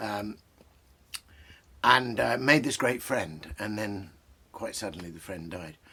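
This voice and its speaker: A man with vocal fry at a moderate pace. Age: 60s. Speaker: poet and literary commentator. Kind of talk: casual talk about poetry. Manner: hesitant, with many fillers.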